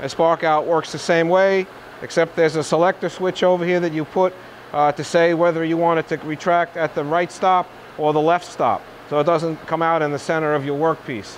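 This man has a high pitch and a fairly quick pace. His intonation is monotone and flat, with light background noise behind him. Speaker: machine salesman demonstrator. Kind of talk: product walkthrough demonstration. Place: workshop.

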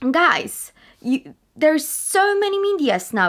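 Fairly slow speech from a woman, with very wide pitch swings and a quiet background. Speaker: actress vlogger. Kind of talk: casual vlog chat. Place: home room. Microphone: webcam.

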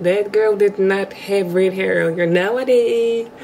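A woman with ordinary pitch variation speaks at a fairly slow pace, music playing in the background. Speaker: vlogger. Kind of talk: casual vlog chat. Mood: cheerful, confident. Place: home room. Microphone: phone near.

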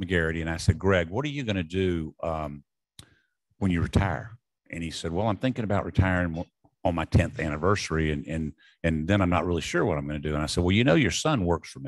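A man in a Southern US accent talks at a very fast pace with a very deep, low pitch against a quiet background. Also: ordinary pitch variation. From US South. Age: 70s. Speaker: retired sports bowl executive. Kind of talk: after-dinner speech. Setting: stage with audience.

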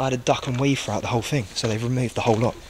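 Noticeable background noise sits behind a man talking at a very fast pace. His intonation stays fairly even. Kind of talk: casual vlog chat. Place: hall. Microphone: phone near.

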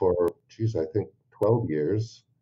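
Fairly slow, somewhat breathy speech from a man. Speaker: dental industry marketing manager. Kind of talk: interview.

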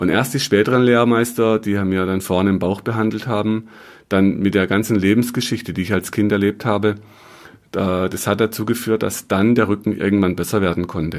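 A man with an unremarkable speaking voice talks at a moderate pace, his pitch fairly low and his intonation fairly even. The recording is very clean, with a silent background. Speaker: muscle and health therapist, podcaster. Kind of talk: educational podcast monologue.

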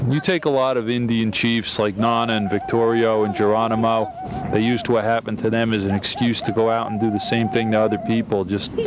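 A man talks at a fairly quick pace over noticeable background noise, in a dry sound with no echo. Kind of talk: interview answer. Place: street. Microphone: handheld.

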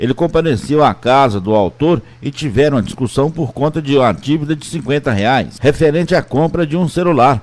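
A man uses an ordinary speaking voice at a moderate pace, his intonation lively. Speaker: crime news reporter. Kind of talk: police news report.

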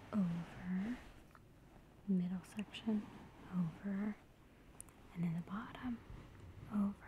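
At a very slow pace, a woman speaks with fairly even intonation, the sound dry with no echo and light background noise behind her. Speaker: massage demonstrator. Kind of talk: tutorial. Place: home room. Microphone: phone near.

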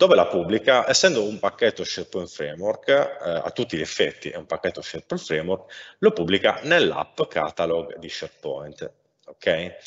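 A man's loudness swings a lot as he speaks at a moderate pace. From Sardinia, Cagliari. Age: 30s. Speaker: software architect. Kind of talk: technical talk. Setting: live stream. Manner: hesitant, many fillers.

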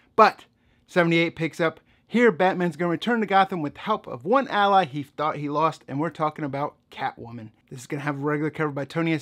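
Fairly quick speech from a man against a quiet background. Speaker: comic book reviewer. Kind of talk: commentary. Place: home room.

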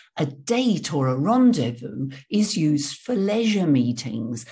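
A woman's voice has a dark, mellow tone and is somewhat breathy, with very wide pitch swings. The background is quiet. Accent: English. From England. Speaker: English teacher. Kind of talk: tutorial. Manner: clear. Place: home room. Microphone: studio mic.

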